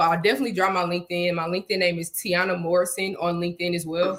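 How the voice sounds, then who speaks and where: Very rapid speech from a woman with a fairly deep voice. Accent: Houston. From Houston, Texas. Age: 20s. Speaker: software engineer and snake breeder. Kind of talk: interview. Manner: animated.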